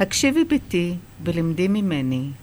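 Very wide pitch swings from a woman at a very slow pace. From Israel, Kiryat Yam, Haifa area; Iranian immigrant family. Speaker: children's book author. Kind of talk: interview; reading aloud.

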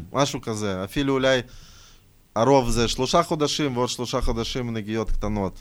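Moderately paced speech, very cleanly recorded against a silent background. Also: man, medium pitch for a man, ordinary pitch variation. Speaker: rapper. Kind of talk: casual chat.

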